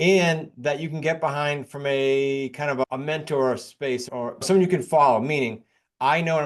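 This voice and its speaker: With a New England accent, a man talks at a fairly high pitch for a man, using ordinary pitch variation against a quiet background. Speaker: real estate investor and coach. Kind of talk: podcast interview.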